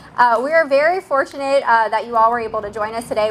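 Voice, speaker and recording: The speech is very fast. There is noticeable background noise. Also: woman. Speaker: hospital executive. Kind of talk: ceremony speech. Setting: outdoors with PA system. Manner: projecting voice. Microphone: quiet speakers.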